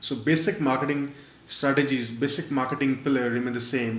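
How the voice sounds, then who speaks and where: A man's monotone, flat delivery at a fairly quick pace, with audible room echo. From India. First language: not English. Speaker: online marketer and webinar presenter. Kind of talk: webinar presentation. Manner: frequent fillers, halting.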